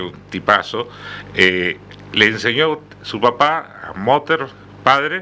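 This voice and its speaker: Over noticeable background noise, a man with a medium pitch speaks at a very slow pace with lively intonation, long, frequent pauses and big swings in loudness. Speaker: radio host. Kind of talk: radio interview host.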